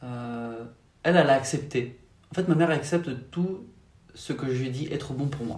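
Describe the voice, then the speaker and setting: Audible room echo surrounds a man with a fairly high, somewhat breathy voice. He speaks fairly slowly with lively intonation. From France, Paris region. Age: 20s. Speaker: faith testimony guest. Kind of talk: testimony. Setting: at home.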